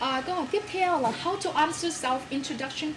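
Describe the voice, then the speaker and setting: Against noticeable background noise and audible room echo, a woman with a high voice talks at a moderate pace with lively intonation. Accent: Vietnamese. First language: Vietnamese. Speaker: talk show host. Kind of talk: talk show interview.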